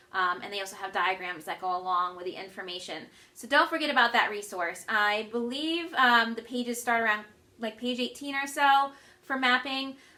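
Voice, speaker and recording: A woman's fairly high, lively voice with big swings in loudness and audible room echo. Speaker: earth science teacher. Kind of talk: lecture. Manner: fast.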